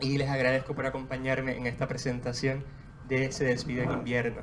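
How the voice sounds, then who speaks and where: A medium-pitched man's voice at a moderate pace, with audible room echo. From Puerto Rico, Juana Díaz. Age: 20s. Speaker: poet. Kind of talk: book presentation with poetry reading. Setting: bookstore event with audience.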